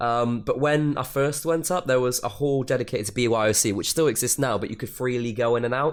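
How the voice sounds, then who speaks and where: A man at medium pitch, very fast with hardly any pauses, ordinary pitch variation, and noticeable background noise. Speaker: YouTuber, podcast co-host. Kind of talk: casual chat.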